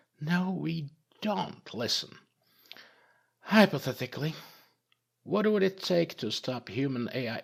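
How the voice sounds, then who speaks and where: Putting on a rumbling character voice pitched fairly high, a man speaks at a fairly slow pace with long, frequent pauses on a very clean recording with a silent background. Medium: read story. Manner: grumbling, profane.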